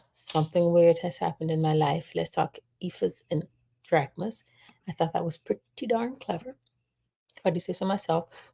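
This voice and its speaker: Fairly low female voice at a moderate pace, in a dry, close sound with no echo. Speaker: talk show host. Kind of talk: casual live talk show discussion.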